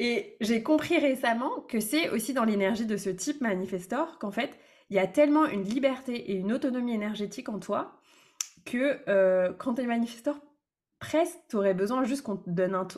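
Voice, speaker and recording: With an ordinary speaking voice, a woman of fairly high pitch talks at a moderate pace with lively intonation. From France, Brittany. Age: 30s. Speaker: business coach. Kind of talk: casual interview.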